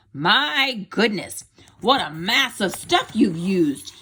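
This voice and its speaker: A woman puts on a character voice, raised and projected, with an excited tone. She speaks at a medium pitch and a fairly slow pace. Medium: read story. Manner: excited, exclamatory.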